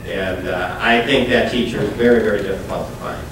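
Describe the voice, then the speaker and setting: A man with an American accent speaks at a fairly quick pace. Noticeable background noise and audible room echo surround him. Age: 60s. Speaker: political candidate. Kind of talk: town hall Q&A. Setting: town hall with audience.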